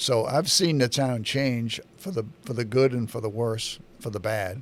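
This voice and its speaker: At a fairly slow pace, a man speaks in an unremarkable speaking voice, with medium pitch and ordinary pitch variation. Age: 60s. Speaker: local public-access TV host and town activist. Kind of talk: political commentary monologue. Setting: studio.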